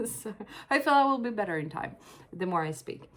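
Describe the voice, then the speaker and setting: A woman's voice with lively intonation. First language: Swedish. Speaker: crochet designer and author vlogger. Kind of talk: casual vlog talk. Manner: hesitant, many fillers.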